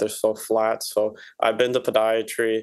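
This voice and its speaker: The pace is fairly slow. The background is quiet. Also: man. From Puerto Rico. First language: Spanish. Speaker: podiatric medical student. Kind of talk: interview.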